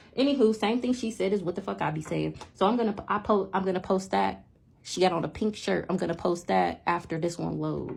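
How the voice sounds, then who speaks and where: Her voice is fairly low for a woman and carries vocal fry. She sounds animated and moves at a fairly quick pace. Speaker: spiritual vlogger. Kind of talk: casual monologue. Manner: fast.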